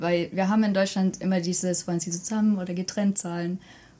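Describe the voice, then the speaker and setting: A woman's dark, mellow voice at a medium pitch. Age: 20s. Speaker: university student of Korean studies. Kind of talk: podcast interview.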